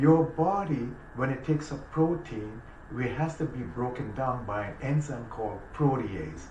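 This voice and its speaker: With lively intonation, a man of medium pitch talks at a fairly slow pace amid audible room echo. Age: 60s. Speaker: naturopathic doctor. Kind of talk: casual chat.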